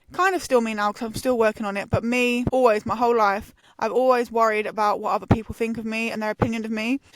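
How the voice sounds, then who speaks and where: A woman talks at a very fast pace in a fairly high voice, with hardly any pauses. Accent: English. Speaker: podcast host. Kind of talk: casual chat. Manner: animated.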